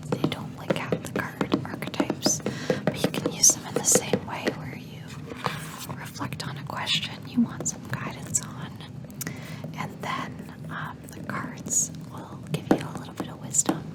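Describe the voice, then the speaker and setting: Noticeable background noise sits under whispering delivered at a fairly slow pace. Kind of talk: ASMR personal attention. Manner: whispered; soft-spoken, slow.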